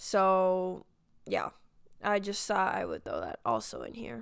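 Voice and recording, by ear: At a slow pace, a woman with medium pitch and vocal fry speaks in a clear, smooth tone with very wide pitch swings, on a very clean recording with a silent background.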